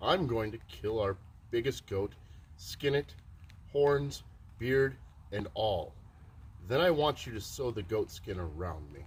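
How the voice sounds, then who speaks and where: A man puts on a gruff character voice of medium pitch with very wide pitch swings. He goes at a fairly slow pace with long, frequent pauses. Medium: read story. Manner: gruff, demanding.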